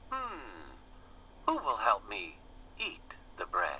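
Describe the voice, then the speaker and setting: Over clear background noise, someone talks very slowly in a put-on character voice. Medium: read story. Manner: earnest, hopeful.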